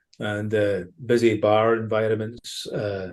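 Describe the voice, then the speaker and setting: Against a quiet background, a man with a strong Ayrshire accent speaks at a fairly low pitch. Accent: Ayrshire Scottish accent, still strong. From Scotland, Ayrshire. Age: 40s. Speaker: former professional footballer and baseball fan. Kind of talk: casual podcast interview.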